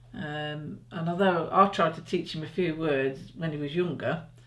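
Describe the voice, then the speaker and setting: The speaker has an English accent. The pace is moderate. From England. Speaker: parent in interview. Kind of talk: interview. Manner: halting.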